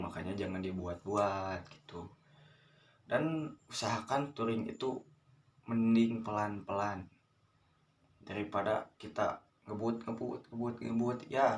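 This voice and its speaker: A man's fairly low voice at a very slow pace. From West Java, Garut. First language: Sundanese (speaking Indonesian). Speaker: vlogger, scooter rider. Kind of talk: casual monologue, advice vlog. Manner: halting, many fillers.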